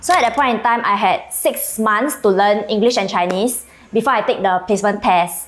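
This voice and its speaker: A woman with an Indonesian accent talks at a moderate pace in a fairly high pitch, her loudness very even and her pitch variation ordinary, over noticeable background noise. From Indonesia, Kuala Tungkal. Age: 20s. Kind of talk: interview answer.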